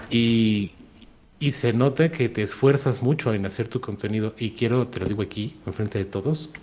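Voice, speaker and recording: Speaking in a Mexican accent, the somewhat breathy voice keeps a moderate pace with ordinary pitch variation. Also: man, medium pitch for a man. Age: 30s. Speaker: content creator. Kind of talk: casual chat.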